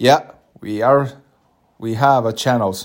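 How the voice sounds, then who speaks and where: At a fairly slow pace, a man with a Finnish accent speaks with ordinary pitch variation in a very clean recording with a silent background. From Finland. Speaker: podcast host. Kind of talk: podcast introduction monologue. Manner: halting, many filler words.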